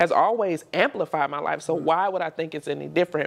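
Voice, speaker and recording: In an American accent, the words come out at a very fast pace. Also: woman. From Maryland, DMV area. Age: 30s. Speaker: entrepreneur and podcaster. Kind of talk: casual interview conversation.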